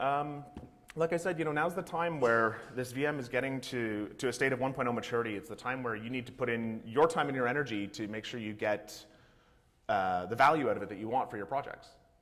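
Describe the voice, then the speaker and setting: A man with a medium pitch talks at a very fast pace with lively intonation, with audible room echo around him. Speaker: conference speaker, software developer. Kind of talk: conference talk.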